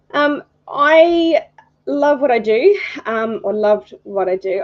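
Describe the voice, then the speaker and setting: A woman with an Australian accent and very wide pitch swings. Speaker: photography judge, retired birth photographer. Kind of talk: live stream introduction. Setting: live stream. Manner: hesitant, many fillers.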